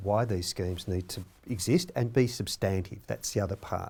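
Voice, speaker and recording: A man with an Australian accent, fairly low in pitch, somewhat breathy and dark, mellow in tone, with lively intonation at a moderate pace on a very clean recording with a silent background. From Australia, rural Victoria (Victoria-NSW border). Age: 60s. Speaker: Stolen Generations survivor and advocate. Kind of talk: panel discussion.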